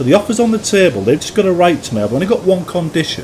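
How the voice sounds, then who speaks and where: A man speaks with a Yorkshire accent and very wide pitch swings. Noticeable background noise sits behind him. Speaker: gaming YouTuber and mod maker. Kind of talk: gameplay commentary. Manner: halting, repeats words.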